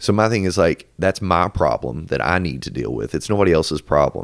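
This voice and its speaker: Heard in a dry, close sound with no echo, a man with a very deep, low pitch and vocal fry talks at a fairly quick pace with lively intonation. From Louisville, Kentucky. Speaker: corporate finance employee. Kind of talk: casual chat.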